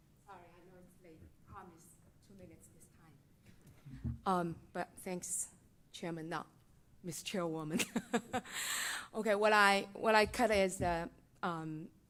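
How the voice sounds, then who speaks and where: In a Chinese accent, a woman talks at a fairly slow pace with long, frequent pauses, her medium pitch showing ordinary variation and her loudness swinging widely. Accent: Mandarin Chinese. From mainland China. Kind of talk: public comment at board meeting.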